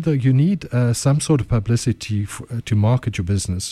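Moderate pacing with a dark, mellow tone and a somewhat breathy quality. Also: man. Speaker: entrepreneur and chef. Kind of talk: casual radio interview. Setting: radio studio.

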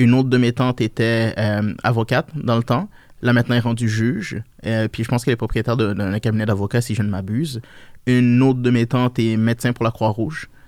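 On a very clean recording with a silent background, a man talks fairly quickly at a medium pitch with very even loudness. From Niger, moved to Quebec around age 8. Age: 20s. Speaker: financial services entrepreneur. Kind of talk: interview, casual chat. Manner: animated.

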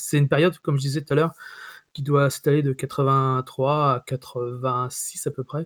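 Speaking at a fairly slow pace, a man uses a fairly high pitch and monotone, flat intonation. The recording is very clean with a silent background and a dry, close sound with no echo. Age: 40s. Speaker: video game journalist and author. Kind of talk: casual interview conversation.

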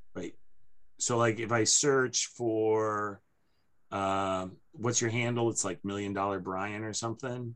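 A man with a normal speaking voice, fairly low pitch, fairly even intonation and a fairly slow pace. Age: 50s. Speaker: podcast host. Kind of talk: casual chat.

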